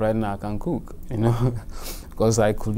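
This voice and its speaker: A man speaks with monotone, flat intonation. Noticeable background noise runs behind him. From Nigeria. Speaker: LGBTQ immigrant. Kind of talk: oral history interview answer.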